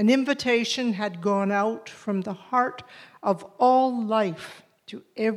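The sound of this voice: What comes through is an unforced reading voice.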